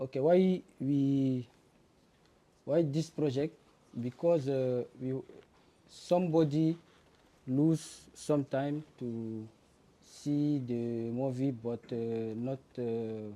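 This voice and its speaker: A man with a non-native accent talks very slowly, leaving long, frequent pauses. His tone is dark and mellow, at a medium pitch with ordinary pitch variation. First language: not English. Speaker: student presenting a project. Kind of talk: project presentation. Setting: demo day before a jury. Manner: halting, many fillers.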